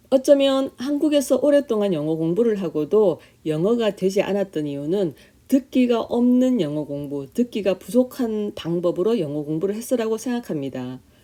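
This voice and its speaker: Her tone dark and mellow, a woman speaks at a moderate pace with very wide pitch swings. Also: medium pitch for a woman. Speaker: English Bible shadowing channel host, former English teacher. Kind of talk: scripted testimony narration.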